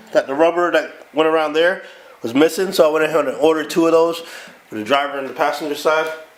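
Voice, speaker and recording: Noticeable background noise sits behind a man speaking at a very fast pace. His fairly high voice keeps a fairly even intonation. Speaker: car vlogger. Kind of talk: casual vlog.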